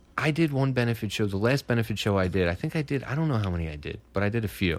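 Speaking at a very fast pace, a man keeps his intonation lively. His pitch sits in the medium range. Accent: Philadelphia. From Philadelphia. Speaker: comedian. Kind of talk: casual chat. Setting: studio.

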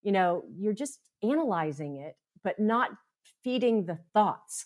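With an American accent and lively intonation, someone talks at a moderate pace in an ordinary speaking voice. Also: woman. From US East (upstate New York, then Florida). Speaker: mindfulness teacher and therapist. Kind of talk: interview.

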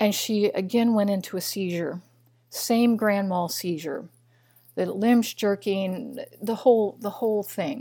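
A woman's medium-pitched voice in a Midwestern American accent, dark and mellow in tone, at a fairly slow pace with ordinary pitch variation, on a very clean recording with a silent background. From US Midwest, Missouri. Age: 60s. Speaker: biochemist and nutritionist. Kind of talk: interview.

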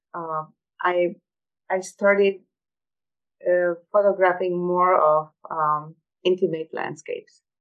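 In a Croatian accent, the speaker talks very slowly with monotone, flat intonation and long, frequent pauses. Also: woman, fairly low pitch for a woman. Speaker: photographer and scientist. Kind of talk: interview. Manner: halting.

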